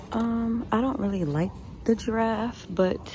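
A woman speaks at a fairly slow pace in a somewhat breathy voice. The sound is dry with no echo, over light background noise. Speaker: couponing vlogger and mom. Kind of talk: casual vlog with a frustrated, venting rant about her toddler's sleep and leaky bottles. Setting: shopping at a store and in her car, filming herself. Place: shop. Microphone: phone near.

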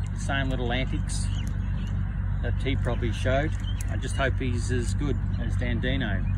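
Over loud background noise, a man talks at a moderate pace with long, frequent pauses, the sound dry with no echo. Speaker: horse breeder and owner. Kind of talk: casual promo interview. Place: open country.

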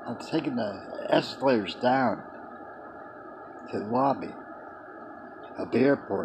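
Noticeable background noise sits under a man speaking at a fairly slow pace with ordinary pitch variation. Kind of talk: casual reminiscing monologue. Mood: nostalgic storytelling. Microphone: webcam.

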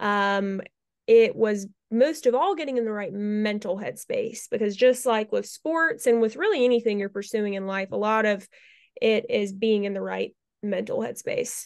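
A woman with an American accent and a normal speaking voice, her pitch varying in an ordinary way. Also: fairly high pitch for a woman, moderate pace. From North Carolina. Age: 20s. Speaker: beauty pageant titleholder. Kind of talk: interview.

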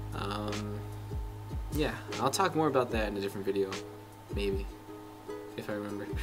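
A man's fairly low-pitched voice at a fairly quick pace, with clear music in the background. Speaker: exchange student vlogger. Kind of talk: casual vlog chat. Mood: warm, thankful, relaxed. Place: garage. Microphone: camera far.

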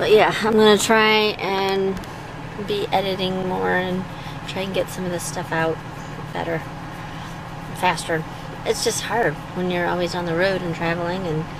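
The speech comes with long, frequent pauses. The sound is dry with no echo, though there is noticeable background noise. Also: woman, moderate pace. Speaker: travel vlogger. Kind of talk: casual vlog chat. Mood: relaxed, chatty. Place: car. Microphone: phone near.

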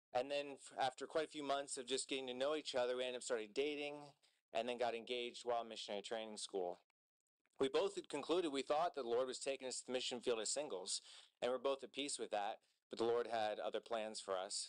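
A man talks at a very fast clip over a quiet background. His pitch rises and falls in an ordinary way. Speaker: speaker. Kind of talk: sermon. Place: church. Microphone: podium.

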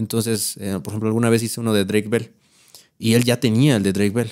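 At a fairly quick pace, a man with a Mexico City accent speaks with ordinary pitch variation over a quiet background. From Mexico City (Iztapalapa), later San Luis Potosí. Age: 30s. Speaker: content creator and guitarist; content creator. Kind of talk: casual chat. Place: studio. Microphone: studio mic.

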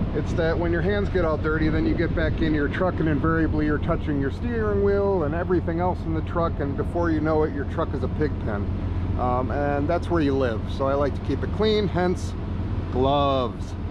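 A man talks fairly quickly over loud noise in the background. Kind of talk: casual vlog tutorial. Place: open country. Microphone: phone near.

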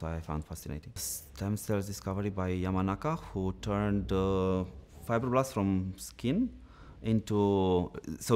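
Lively intonation marks a man's speech in a Romanian accent. His pitch sits fairly low. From Romania, Bucharest. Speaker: dental science lecturer. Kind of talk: interview. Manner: halting, many filler sounds. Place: studio.

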